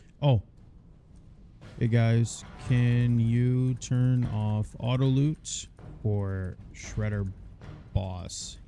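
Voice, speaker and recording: Over music in the background, a man speaks at a very slow pace with fairly even intonation. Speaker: video game streamer. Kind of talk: casual chat. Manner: monotone.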